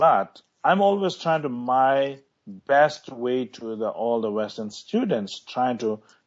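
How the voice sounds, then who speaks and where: This man speaks at a very slow pace with lively intonation. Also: medium pitch for a man. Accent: Tibetan. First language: Tibetan. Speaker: Tibetan lama, meditation teacher. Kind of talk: interview. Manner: halting.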